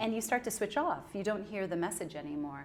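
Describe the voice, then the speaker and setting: Talking very fast with an American accent, a woman uses a medium pitch and ordinary pitch variation. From California, US. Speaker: communication consultant. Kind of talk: interview. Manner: clear.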